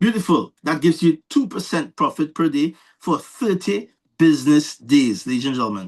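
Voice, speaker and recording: Over a quiet background, a man with a Trinidadian accent and fairly high pitch speaks at a moderate pace with lively intonation. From Trinidad and Tobago. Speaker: presenter of investment scheme. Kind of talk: sales pitch. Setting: online call. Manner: animated.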